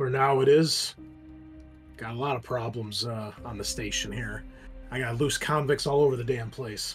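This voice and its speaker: A man puts on a raspy character voice at medium pitch, with big swings in loudness. His intonation stays fairly even at a moderate pace, with clear music in the background. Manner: gruff, impatient, profane.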